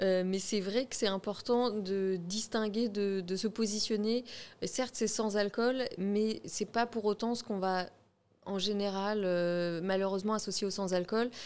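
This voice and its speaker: Speaking at a fairly slow pace, a woman with an unremarkable speaking voice keeps a medium pitch and fairly even intonation. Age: 30s. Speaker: shop co-manager. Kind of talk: casual interview.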